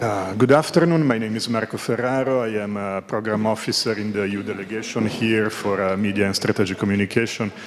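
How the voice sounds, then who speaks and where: Amid noticeable background noise, a man with a fairly low pitch rushes along at a very fast pace with hardly any pauses and fairly even intonation. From Italy. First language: Italian. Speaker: audience member asking question. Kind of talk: panel Q&A question. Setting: conference panel with audience. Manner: halting, many fillers.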